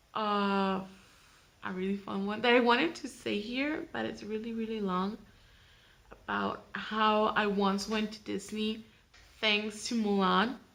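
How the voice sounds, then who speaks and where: A woman's fairly high, bright, sharp voice at a very slow pace, with ordinary pitch variation. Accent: Mexican. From Mexico, Tijuana. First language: Spanish. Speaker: vlogger. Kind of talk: casual vlog introduction. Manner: halting, many fillers and restarts.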